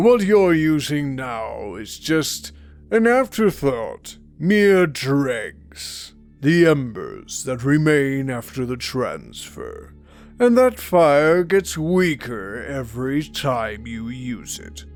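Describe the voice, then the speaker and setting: A man's put-on character voice, fairly high in pitch, with very wide pitch swings, big swings in loudness, a very slow pace and faint music in the background. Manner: menacing.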